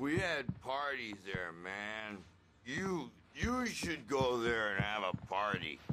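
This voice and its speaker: Using a put-on character voice, the speaker goes at a very slow pace with lively intonation. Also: man, medium pitch for a man. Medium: video game. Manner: loud, rowdy.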